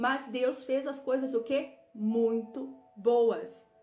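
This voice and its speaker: A woman with a fairly high pitch is heard through noticeable background noise and audible room echo. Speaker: women's Bible study leader. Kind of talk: live online book club teaching. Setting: livestream.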